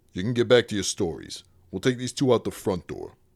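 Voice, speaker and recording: Putting on a character voice, a man talks at a fairly quick pace with ordinary pitch variation and big swings in loudness, in a very clean, dry, close recording with no echo and a silent background. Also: medium pitch for a man. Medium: read story. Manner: terse, guarded.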